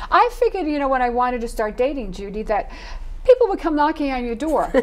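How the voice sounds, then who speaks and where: A woman's high-pitched, very fast speech with very wide pitch swings over noticeable background noise. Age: 60s. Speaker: author and dating coach. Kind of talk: interview. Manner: animated.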